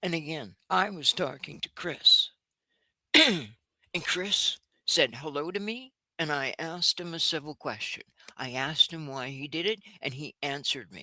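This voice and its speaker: A woman with a very deep, low pitch and a bright, sharp tone talks at a moderate pace with lively intonation, big swings in loudness, and long, frequent pauses, in a dry, close sound with no echo. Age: 60s. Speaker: livestream participant. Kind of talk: heated debate. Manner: outspoken.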